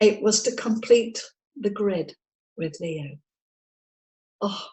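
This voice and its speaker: With an English accent, a woman speaks at a very slow pace in a fairly high, somewhat breathy voice with lively intonation. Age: 70s. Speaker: psychic medium and spirit artist. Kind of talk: interview.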